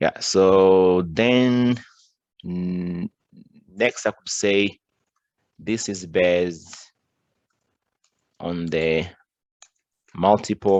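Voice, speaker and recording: A man with a non-native accent and a very deep, low pitch, very slow in pace, with fairly even intonation and long, frequent pauses. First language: not English. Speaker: cybersecurity tutorial presenter. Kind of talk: screen-recorded tutorial. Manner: halting, many restarts and fillers.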